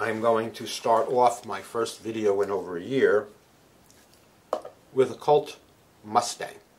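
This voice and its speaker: A man at a fairly slow pace, with long, frequent pauses, fairly even intonation and big swings in loudness over noticeable background noise. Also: medium pitch for a man. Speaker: gun channel host and firearms instructor. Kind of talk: casual chat; tutorial. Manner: halting.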